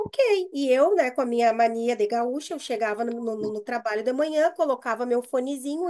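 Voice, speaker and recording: A woman with a southern Brazilian accent talks at a fairly quick pace with a high pitch and ordinary pitch variation. The background is quiet. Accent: gaúcho (southern Brazilian) Portuguese. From Brazil, Rio Grande do Sul. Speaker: university staff member, mental health panelist. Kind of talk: panel discussion, personal story. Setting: video call. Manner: hesitant, many fillers and repetitions.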